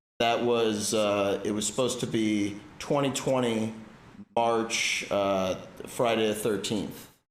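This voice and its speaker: At a very slow pace, a man talks with a medium pitch and fairly even intonation. His loudness stays very even, and there is audible room echo. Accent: American. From Washington, D.C. area. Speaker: streamer and stand-up comedian. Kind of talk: casual chat. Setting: livestream.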